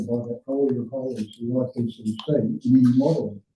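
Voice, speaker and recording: A man speaks at a medium pitch with a dark, mellow tone and a somewhat breathy quality. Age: 60s. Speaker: public submitter at council hearing. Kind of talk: prepared submission statement.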